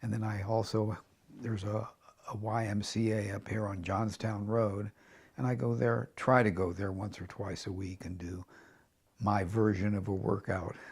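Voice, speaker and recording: Somewhat breathy speech at a moderate pace, with fairly even intonation. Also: man, fairly low pitch for a man. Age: 80s+. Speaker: veteran league bowler. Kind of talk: interview. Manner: halting.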